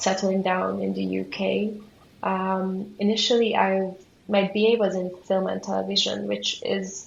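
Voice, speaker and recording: Someone with a Hungarian accent speaks at a fairly slow pace. Audible room echo and noticeable background noise come through. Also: woman. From Hungary. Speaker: museum studies graduate student. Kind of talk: interview.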